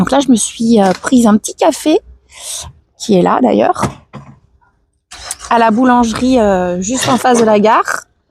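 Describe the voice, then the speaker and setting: A woman talks at a high pitch and a fairly slow pace, with lively intonation. The sound is dry and close, with no echo. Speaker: live streamer. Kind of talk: casual chat. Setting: outdoors. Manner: halting.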